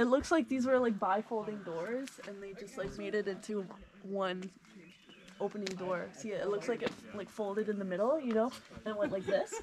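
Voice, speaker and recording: Amid noticeable background noise, a woman talks at a moderate pace with ordinary pitch variation and big swings in loudness. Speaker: vlogger giving tour. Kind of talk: casual vlog chat. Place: open country. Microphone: phone near.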